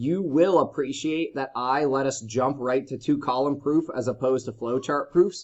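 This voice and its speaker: This is a plain, everyday voice. It has ordinary pitch variation. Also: man. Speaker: high school math teacher. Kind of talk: lecture.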